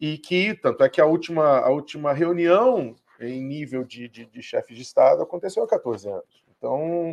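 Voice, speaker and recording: Hardly pausing, a man speaks at a moderate pace with big swings in loudness. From Rio de Janeiro.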